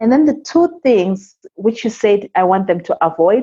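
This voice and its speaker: A woman with an African accent speaks at a medium pitch with very wide pitch swings. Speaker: immigrant guest, seminar speaker. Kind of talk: interview.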